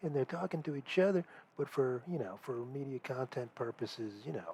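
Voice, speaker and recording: A soft-spoken man talks at a fairly quick clip. His pitch rises and falls in an ordinary way. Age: 40s. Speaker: comedian. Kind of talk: casual monologue. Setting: at home. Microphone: cheap headset.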